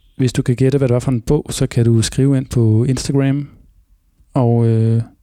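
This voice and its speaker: A man speaks at a fairly slow pace with medium pitch and a dark, mellow tone. His intonation is monotone and flat, the sound dry and close with no echo. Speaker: radio host. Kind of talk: casual chat.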